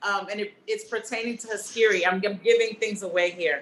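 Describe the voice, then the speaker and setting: A woman with a New York accent, animated in tone, with lively intonation and a moderate pace. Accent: New York twang. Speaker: filmmaker and actor leading a cast discussion. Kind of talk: casual panel discussion.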